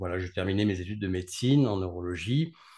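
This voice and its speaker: Over a quiet background, a man speaks with ordinary pitch variation. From France, Grenoble (Alps); France. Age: 40s. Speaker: neurologist; guest. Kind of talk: interview. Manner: halting. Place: home room. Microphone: video call.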